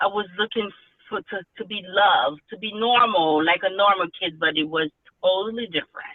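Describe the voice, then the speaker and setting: At a moderate pace, a woman speaks with a medium pitch and ordinary pitch variation. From Haiti, moved to US at ten. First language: Haitian Creole or French. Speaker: author. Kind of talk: interview. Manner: halting, many fillers and restarts.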